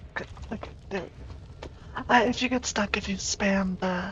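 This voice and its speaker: A woman is speaking. Her voice is soft-spoken. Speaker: vtuber gamer. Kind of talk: gameplay commentary.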